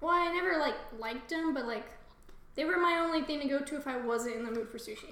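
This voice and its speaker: Over noticeable background noise, a woman talks very fast at a high pitch. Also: ordinary pitch variation. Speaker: podcast co-host. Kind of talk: casual chat, reading fiction aloud.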